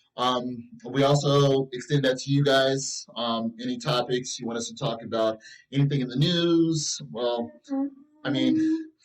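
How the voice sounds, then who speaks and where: A man at medium pitch, fairly slow, with ordinary pitch variation and music in the background. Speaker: podcast co-host. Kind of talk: casual chat, movie review podcast. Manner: halting, many fillers.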